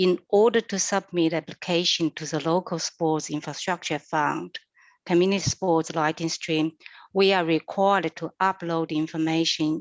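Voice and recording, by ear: Low in pitch with fairly even intonation, a woman talks at a moderate pace in a dry, close sound with no echo.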